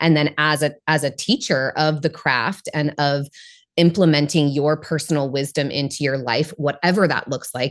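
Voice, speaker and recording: A woman speaks with an American accent and a very deep, low pitch. The recording is very clean, with a silent background. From Northern California. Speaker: spiritual coach. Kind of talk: interview.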